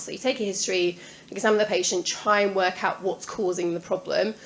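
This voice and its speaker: Noticeable background noise fills the recording. A woman talks through it. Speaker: palliative care consultant. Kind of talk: lecture. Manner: fast.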